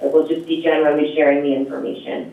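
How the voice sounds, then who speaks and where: Noticeable background noise and audible room echo surround the recording. A man speaks at a fairly high pitch. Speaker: energy program presenter. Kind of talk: public meeting Q&A. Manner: animated.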